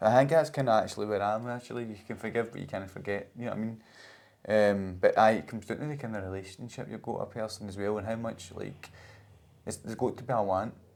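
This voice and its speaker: On a very clean recording with a silent background, a man speaks very fast with a Scottish accent. His fairly low voice shows big swings in loudness. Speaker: podcast host. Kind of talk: casual podcast conversation.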